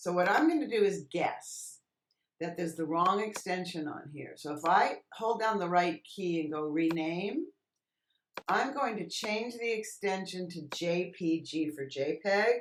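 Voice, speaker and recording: A woman with an ordinary speaking voice talks at a fairly slow pace and fairly low pitch, her intonation lively. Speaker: Photoshop tutorial instructor. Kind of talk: tutorial. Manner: casual, thinking aloud.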